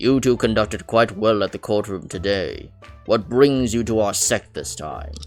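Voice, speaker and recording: A woman puts on a character voice pitched very deep and low, with faint music playing in the background. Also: moderate pace. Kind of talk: formal, ceremonious.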